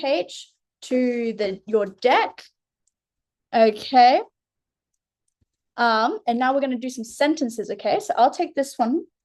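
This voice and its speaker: Speaking with an Australian accent at a fairly slow pace, a woman uses a high pitch and takes long, frequent pauses. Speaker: literacy tutor. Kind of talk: one-on-one tutoring lesson. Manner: slow, clearly enunciated.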